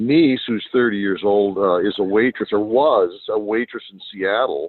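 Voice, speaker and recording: The man's voice sits at a fairly low pitch. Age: 60s. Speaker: greenhouse farm owner. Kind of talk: casual interview chat. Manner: halting with many fillers.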